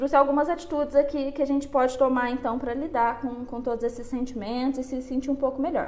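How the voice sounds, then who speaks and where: Over noticeable background noise, a woman talks very fast with hardly any pauses, her high pitch held in a monotone, flat intonation. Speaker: psychologist. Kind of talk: live stream talk on anxiety. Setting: online live stream. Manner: conversational, addresses audience.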